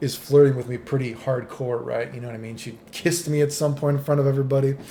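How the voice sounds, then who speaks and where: Noticeable background noise sits behind a man whose voice is fairly high-pitched for a man. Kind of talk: casual talk to camera; storytelling about personal experiences.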